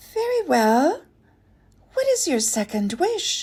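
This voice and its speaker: A woman puts on a squeaky character voice at an extremely high pitch. Her pitch swings very widely at a fairly slow pace. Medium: read story.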